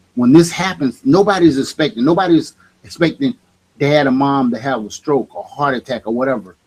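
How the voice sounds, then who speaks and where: A man speaks in a plain, everyday voice, pitched fairly high with ordinary pitch variation. The sound is dry and close, with no echo. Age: 50s. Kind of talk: casual chat.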